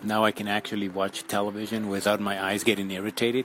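Noticeable background noise sits behind the voice. A man speaks with monotone, flat intonation. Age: 40s. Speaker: podcaster. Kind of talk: casual monologue. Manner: halting, many fillers.

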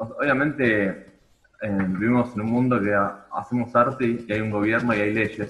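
A man talks at a fairly slow pace in a medium pitch. His pitch varies in an ordinary way. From Argentina. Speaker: rock musician. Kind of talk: casual chat. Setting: video call.

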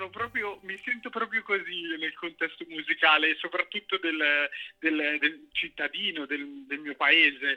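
The delivery moves at a fairly slow pace with ordinary pitch variation. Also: man. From Cinisello, near Milan. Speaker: musician. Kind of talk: casual interview.

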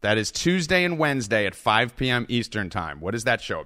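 Bright and sharp in tone, the voice carries vocal fry and very wide pitch swings. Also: man. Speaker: sports betting podcast host and company founder. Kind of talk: casual sports chat interview.

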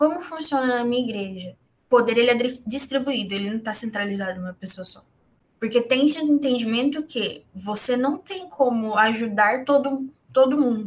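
Her loudness swings widely as a woman with a high pitch speaks at a moderate pace with ordinary pitch variation. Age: 20s. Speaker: podcast host. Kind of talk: casual chat.

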